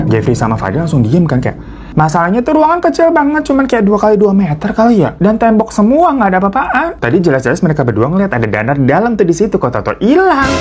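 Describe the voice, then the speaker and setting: The speech comes at a very fast pace with hardly any pauses. Noticeable background noise runs underneath. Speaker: horror story narrator and mukbang streamer. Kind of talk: horror storytelling, casual talk to camera.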